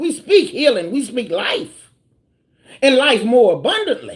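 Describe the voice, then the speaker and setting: Loud and animated, a woman speaks fairly slowly in a high voice with very wide pitch swings. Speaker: tarot reader. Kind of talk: live tarot reading stream.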